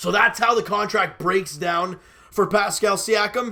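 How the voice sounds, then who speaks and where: A man uses a raised, projected voice at a high pitch. His tone is bright and sharp, and his pace is fairly slow. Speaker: sports commentary youtuber. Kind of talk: casual sports commentary monologue.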